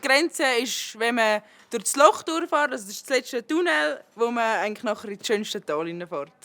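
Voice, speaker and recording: Pitch swings very widely as a woman speaks in a fairly high voice with a Uri accent. Her pace is moderate. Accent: Urseren Swiss German dialect. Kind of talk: interview answer.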